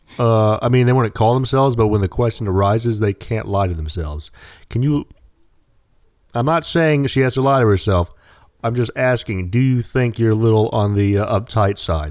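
A man with an American accent and an ordinary speaking voice talks at a medium pitch and moderate pace, with ordinary pitch variation. His loudness is very even, and the recording is very clean with a silent background. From United States. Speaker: podcast co-host. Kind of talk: casual chat.

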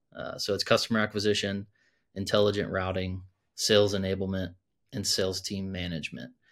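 A man speaks in a normal speaking voice with fairly even intonation, on a very clean recording with a silent background. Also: fairly low pitch for a man, fairly quick pace. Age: 30s. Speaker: startup founder. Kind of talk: casual interview.

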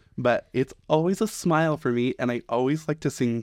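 Against a quiet background with a dry, close sound and no echo, a man uses a plain, everyday voice with lively intonation. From US West. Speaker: wedding venue manager. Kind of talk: casual chat.

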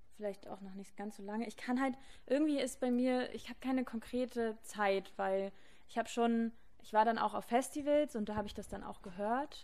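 In a normal speaking voice, a woman with a fairly high pitch talks at a moderate pace, her intonation fairly even and her loudness swinging widely. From Berlin. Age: 20s. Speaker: student, DJ's girlfriend. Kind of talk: casual chat. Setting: studio.

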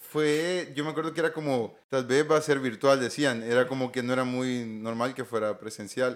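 A man with a plain, everyday voice speaks at medium pitch and a moderate pace, with ordinary pitch variation and hardly any pauses. The recording is very clean, with a silent background. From Honduras, La Paz and Comayagua. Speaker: telecom engineer and entrepreneur. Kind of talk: interview.

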